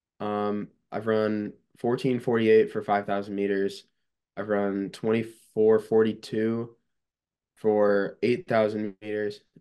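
Very slowly, a man speaks in a dark, mellow, fairly low voice with monotone, flat intonation. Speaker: college runner. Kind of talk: casual interview chat.

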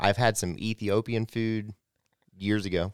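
A man speaks here. The sound is dry and close, with no echo. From North America. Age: 20s. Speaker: podcast host. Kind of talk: casual interview.

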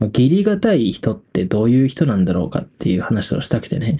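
A man's relaxed, somewhat breathy voice, dark and mellow in tone, at a moderate pace. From Hokkaido, Japan. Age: 20s. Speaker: podcast host, university student. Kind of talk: casual late-night solo talk. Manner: relaxed, filler-heavy.

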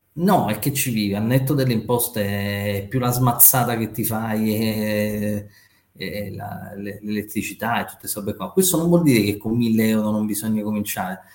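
Here is a man with an ordinary speaking voice. His pitch is fairly low and his pace moderate. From Naples and Rome, Italy. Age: 40s. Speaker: trader and finance educator. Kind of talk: casual interview chat.

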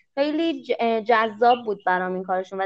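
The pace here is moderate. The voice is an ordinary speaking voice. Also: woman. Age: 20s. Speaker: master's student and Korean language teacher. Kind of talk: casual interview. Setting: remote call.

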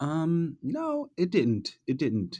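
The background is quiet. His voice carries a dark, mellow tone. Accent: New York. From US, New York City. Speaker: advertising creative director. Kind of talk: interview.

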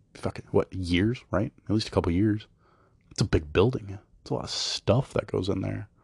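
A man with an American accent talks at a moderate pace in a fairly low pitch, with vocal fry. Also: ordinary pitch variation, dry, close sound with no echo. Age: 20s. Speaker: podcast host. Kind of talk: casual monologue. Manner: halting.

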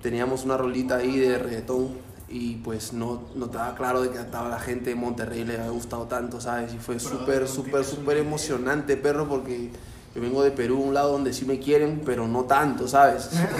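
Amid noticeable background noise and audible room echo, a man talks at a fairly quick pace in a medium pitch with monotone, flat intonation. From Peru, Lima. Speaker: rapper. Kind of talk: casual chat.

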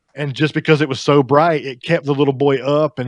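A man with a Southern US accent talks at a fairly quick pace and a medium pitch. The sound is dry and close with no echo, over a quiet background. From US South. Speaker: house painter. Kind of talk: casual chat.

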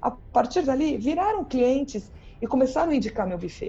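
Moving at a fairly quick pace, the voice has a dark, mellow tone and very wide pitch swings. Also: woman. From Brazil, São Paulo. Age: 50s. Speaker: party planning teacher and speaker. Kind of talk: podcast interview. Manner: animated.

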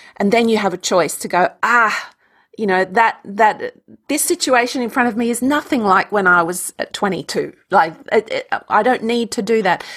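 A fairly high-pitched woman with an Australian accent, lively intonation and a moderate pace, in a very clean recording with a silent background. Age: 50s. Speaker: energy healer and yoga teacher. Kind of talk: interview conversation.

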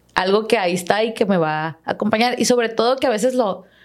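Fairly high in pitch, a woman's voice races along at a very fast pace. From Los Mochis, Sinaloa, Mexico. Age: 20s. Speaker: agronomist and podcaster. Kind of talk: casual interview chat. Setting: studio.

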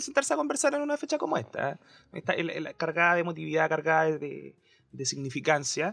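This man's voice is pitched fairly high. He talks at a moderate speed. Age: young. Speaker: podcast co-host. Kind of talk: panel discussion. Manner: halting.

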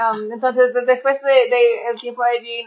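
A woman's high voice with an American accent, at a moderate pace and with monotone, flat intonation. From rural northern US. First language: English (speaking Spanish). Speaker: missionary podcaster. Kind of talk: casual chat. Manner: halting.

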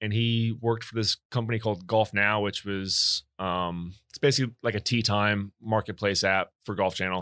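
In a very clean recording with a silent background, a man with a fairly low pitch and a bright, sharp tone speaks at a moderate pace with fairly even intonation and hardly any pauses, the sound dry and close with no echo. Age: 20s. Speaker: guest, pizza maker. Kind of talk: casual chat.

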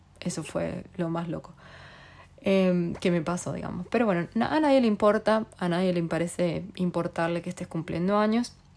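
Female speech, fairly low-pitched and at a medium tempo, with normal pitch movement. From Argentina. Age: 30s. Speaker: podcast host. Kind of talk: casual monologue.

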